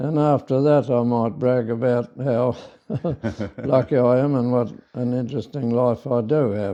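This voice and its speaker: A man with an Australian accent speaks at a medium pitch in a dark, mellow tone, his intonation fairly even against a quiet background. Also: moderate pace. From South Australia. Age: 90s. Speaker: farmer. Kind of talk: interview. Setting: in person. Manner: halting.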